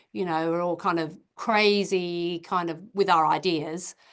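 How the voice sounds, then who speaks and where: With an Australian accent, a woman speaks at a fairly low pitch against a quiet background. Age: 60s. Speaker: creative business founder and self-published author. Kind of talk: podcast interview. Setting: video call.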